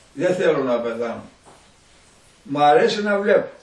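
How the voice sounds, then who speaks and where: Amid noticeable background noise, a man speaks with ordinary pitch variation. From Epirus, Greece. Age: 80s+. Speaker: villager. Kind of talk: oral history interview answer.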